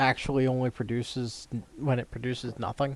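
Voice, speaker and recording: A man mumbling with fairly even intonation. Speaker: gaming streamer. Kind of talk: live gameplay commentary. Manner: mumbling to himself; casual, halting.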